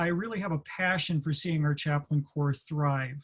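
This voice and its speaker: Here is a plain, everyday voice with an American accent. The pace is moderate. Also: man. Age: 60s. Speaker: military chaplain leader. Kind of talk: staff college presentation. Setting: online training session. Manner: conversational with frequent fillers and restarts.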